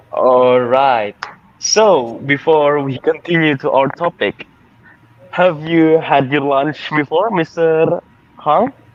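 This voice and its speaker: Speaking at a very slow pace over noticeable background noise, a man has a fairly high pitch and ordinary pitch variation. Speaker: student show host. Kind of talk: casual interview.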